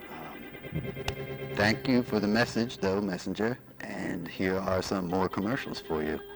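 A man with a fairly low-pitched voice talks at a fairly slow pace over music in the background. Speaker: radio DJ. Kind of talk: comedic late-night radio DJ patter, deadpan jokes between songs. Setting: radio station broadcast.

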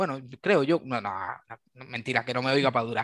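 A man is speaking in a medium pitch. The variation in his pitch is ordinary. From Cuba. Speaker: SAP software developer. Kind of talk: casual interview. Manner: halting, with many repetitions.

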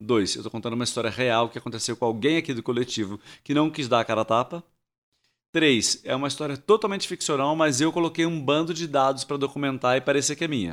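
Very fast speech with ordinary pitch variation on a very clean recording against a silent background. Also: man. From Rio de Janeiro, Brazil. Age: 50s. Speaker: actor and theatre director. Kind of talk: casual interview chat. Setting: studio.

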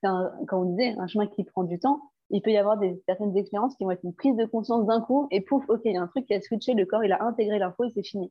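Her speech moves at a very fast pace. The woman has a fairly high pitch and ordinary pitch variation. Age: 30s. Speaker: therapist and former midwife. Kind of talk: casual interview. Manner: halting, with many fillers.

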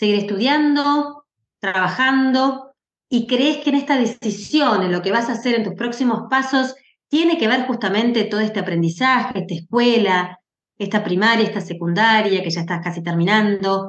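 A woman with a fairly high pitch and an ordinary speaking voice talks at a moderate pace with lively intonation. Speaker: podcast host and moderator. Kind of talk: moderated panel conversation.

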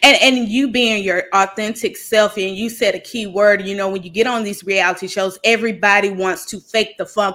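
A woman with a Southern US accent, medium pitch, ordinary pitch variation, a bright, sharp and animated tone, big swings in loudness and a moderate pace. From US South. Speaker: podcast host. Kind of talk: casual chat.

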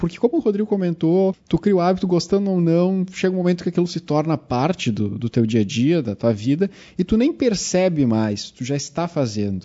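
Here a man speaks at a fairly quick pace. His voice is high and his pitch swings very widely. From Rio Grande do Sul, Brazil (Cachoeirinha). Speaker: chemistry teacher, podcast host. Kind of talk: casual chat.

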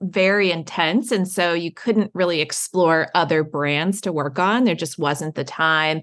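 Over a quiet background, a woman with an American accent has an ordinary speaking voice, a medium pitch and ordinary pitch variation. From Baltimore, Maryland. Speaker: tourism marketing executive. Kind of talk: interview.

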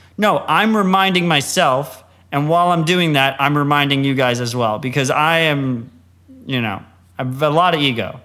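A man with an American accent and a plain, everyday voice, at a moderate pace and fairly high pitch, with ordinary pitch variation. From United States. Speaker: podcast co-host and Bitcoin commentator. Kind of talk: casual interview.

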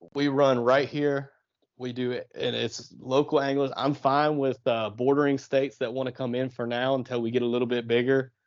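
In an American accent, a man talks at a medium pitch with monotone, flat intonation. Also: moderate pace. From southeastern Ohio, on the Ohio River. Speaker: kayak fishing tournament organizer. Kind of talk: casual interview.

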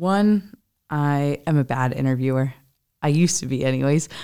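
On a very clean recording with a silent background, a woman speaks with an American accent. She talks at a fairly slow pace with ordinary pitch variation. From US Midwest, small town in Ohio. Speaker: customer success manager. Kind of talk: casual interview chat.

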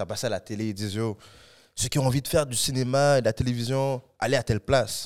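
The recording is very clean with a silent background. A man speaks with ordinary pitch variation. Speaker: actor and comedian. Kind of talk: casual podcast interview.

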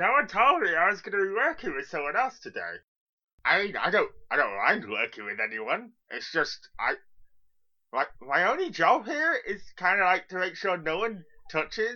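A put-on character voice with a fairly high pitch moves at a fairly slow pace, broken by long, frequent pauses. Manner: hesitant, awkward, friendly.

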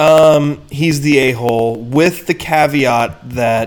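Pitch moves in an ordinary way as the man talks. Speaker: sports podcast co-host. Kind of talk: casual chat. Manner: laughs a lot.

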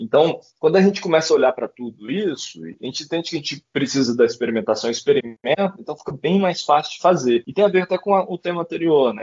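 Talking at a very fast pace, a man uses vocal fry at a fairly high pitch. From Brazil, Goiás. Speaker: poet and writer. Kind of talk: casual interview chat.

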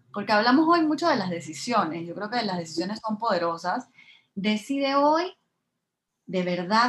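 At a moderate pace, a woman with a fairly high voice lets her pitch swing very widely. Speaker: podcast host. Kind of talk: casual interview chat.

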